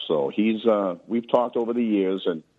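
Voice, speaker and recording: Talking at a moderate pace, a man uses a normal speaking voice that sits fairly low. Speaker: caller. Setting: phone call.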